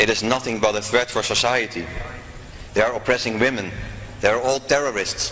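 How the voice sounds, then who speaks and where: The speaker has a Dutch accent and fairly even intonation. Music plays in the background. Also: man, medium pitch for a man. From Netherlands. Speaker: former politician, convert. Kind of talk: testimony.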